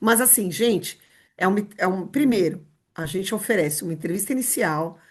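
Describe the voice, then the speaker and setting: A somewhat breathy woman's voice at a moderate pace, lively intonation, quiet background. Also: medium pitch for a woman. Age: 60s. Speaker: rehabilitation and inclusion specialist. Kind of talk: podcast interview.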